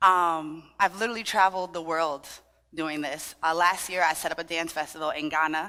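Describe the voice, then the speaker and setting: A woman with an American accent speaks at a fairly low pitch in a bright, sharp tone, on a very clean recording with a silent background. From Trinidadian family in Brooklyn, New York. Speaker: dance fitness instructor. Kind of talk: workshop with audience participation. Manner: animated.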